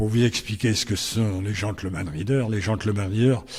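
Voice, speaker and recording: A man speaks at a fairly slow pace in a fairly low pitch. His voice is somewhat breathy. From northern France, Compiègne. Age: 80s+. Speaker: racecourse president, former steward. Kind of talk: interview. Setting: at a racecourse.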